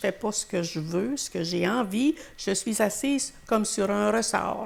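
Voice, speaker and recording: The speech goes at a fairly slow pace. Noticeable background noise runs underneath. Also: woman. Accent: Quebec. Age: 80s+. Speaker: retired teacher. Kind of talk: interview. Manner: halting.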